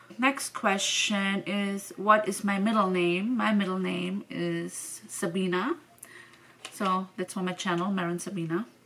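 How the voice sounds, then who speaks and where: Noticeable background noise sits under a woman's medium-pitched voice. She talks at a fairly slow pace with fairly even intonation. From Venezuela. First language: Spanish and German. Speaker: vlogger. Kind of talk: casual Q&A vlog. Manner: casual, hesitant with fillers.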